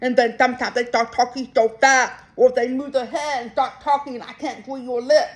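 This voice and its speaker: Intonation stays fairly even while the pace holds moderate. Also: woman. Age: adult. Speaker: deaf vlogger. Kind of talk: personal vlog monologue. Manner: many fillers (um, so).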